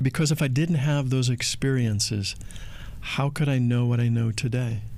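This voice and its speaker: An ordinary speaking voice from a man, medium in pitch, with very even loudness, fairly even intonation and a moderate pace. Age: 60s. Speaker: spiritual speaker, podcast co-host. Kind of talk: casual chat. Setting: in Bali.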